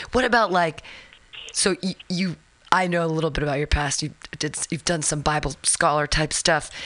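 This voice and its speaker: At a moderate pace, a woman with a fairly low pitch and ordinary pitch variation talks in an unremarkable speaking voice. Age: 40s. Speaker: radio host. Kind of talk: casual interview.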